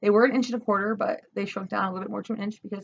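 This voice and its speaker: With ordinary pitch variation and a medium pitch, this woman's voice is somewhat breathy. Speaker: vlogger and body piercer. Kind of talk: casual vlog talk. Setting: at home, new house, dim lighting. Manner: fast.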